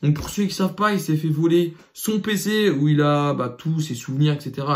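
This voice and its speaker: An animated man's somewhat breathy voice, fairly high-pitched, with ordinary pitch variation. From France. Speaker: YouTuber. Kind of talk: rant to camera. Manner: stuttering at times.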